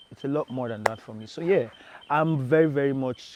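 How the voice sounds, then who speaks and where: A man speaks with a Nigerian accent. His intonation stays fairly even. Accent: Nigerian (Yoruba) English. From Nigeria, Badagry (Lagos). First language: Yoruba. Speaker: singer-songwriter. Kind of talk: interview.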